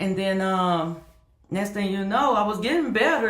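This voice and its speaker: In a room with audible echo, a woman talks at a moderate pace in a medium pitch. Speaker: YouTuber and online reseller. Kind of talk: casual vlog talk. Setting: home office.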